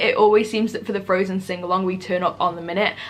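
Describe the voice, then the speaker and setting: Someone talks in an animated tone with a British accent at a very fast pace over noticeable background noise. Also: woman. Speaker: travel vlogger. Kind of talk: tutorial.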